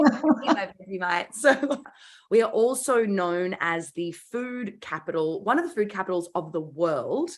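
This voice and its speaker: A woman with an Australian accent speaks at a moderate pace and a medium pitch. Her tone is bright and sharp, with lively intonation. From Australia, Melbourne. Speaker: business founder and class host. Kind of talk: online class hosting, casual. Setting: video call. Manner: animated.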